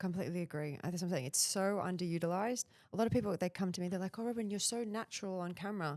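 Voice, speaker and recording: In an Australian accent, a woman speaks very fast at a medium pitch with ordinary pitch variation. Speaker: personal branding expert. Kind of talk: podcast interview.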